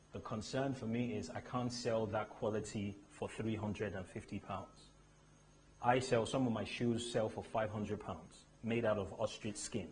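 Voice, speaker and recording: A somewhat breathy, fairly low-pitched male voice. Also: moderate pace. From Nigeria, Lagos area. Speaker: luxury shoe brand founder. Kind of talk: motivational talk. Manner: animated.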